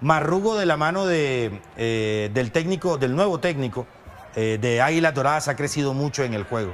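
A man at a moderate pace and fairly high pitch, with lively intonation and noticeable background noise. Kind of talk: sports commentary. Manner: conversational, questioning co-commentator tone, seeking agreement.

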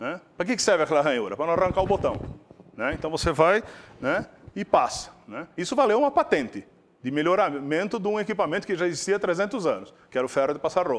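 A man's high-pitched voice at a very fast pace with very wide pitch swings. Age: 60s. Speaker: industrial chemist giving a guest lecture; invited industry lecturer. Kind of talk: lecture. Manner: casual, frequent filler tags. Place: hall. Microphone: lapel.

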